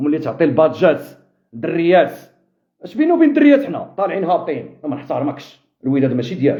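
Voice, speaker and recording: With a Moroccan accent, a man talks at a fairly quick pace, his pitch swinging very widely. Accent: Moroccan Darija. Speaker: football fan commentator. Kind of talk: live stream chat with viewers. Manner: sharp, impassioned.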